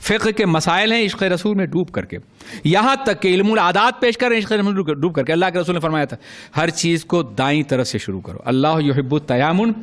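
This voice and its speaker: With lively intonation, a man talks in a high pitch. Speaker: Islamic scholar giving a religious sermon. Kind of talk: religious sermon (bayan) to an audience. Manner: passionate, oratorical, emphatic.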